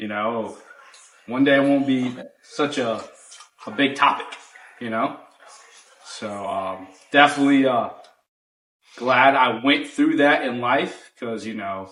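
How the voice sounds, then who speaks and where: A man speaks at medium pitch and a fairly slow pace, with fairly even intonation and long, frequent pauses. His loudness swings widely, and audible room echo surrounds him. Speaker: podcast host. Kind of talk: casual chat.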